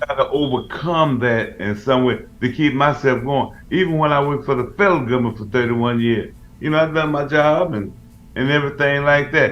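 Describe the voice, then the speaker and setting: With music playing behind him, a man speaks at a moderate pace in a fairly high voice with ordinary pitch variation. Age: 70s. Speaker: radio co-host, military veteran. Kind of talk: casual chat. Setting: radio show.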